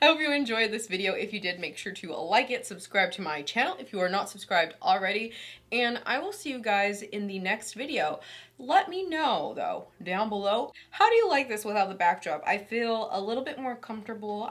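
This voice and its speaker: This is a plain, everyday voice delivered at a moderate pace. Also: woman. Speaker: beauty YouTuber. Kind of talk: makeup tutorial. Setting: at home. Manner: casual, chatty.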